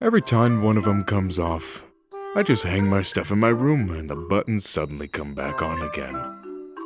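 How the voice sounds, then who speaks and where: A man performs a put-on character voice at a very deep, low pitch and a moderate pace. Faint music plays in the background. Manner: drawling, smirking.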